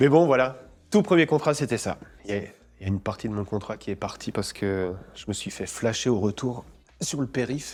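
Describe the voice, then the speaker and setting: Against a very clean recording with a silent background, a man at medium pitch talks at a moderate pace with ordinary pitch variation, big swings in loudness and long, frequent pauses. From France. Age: 40s. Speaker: actor. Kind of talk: interview. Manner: casual, hesitant with fillers and repetitions.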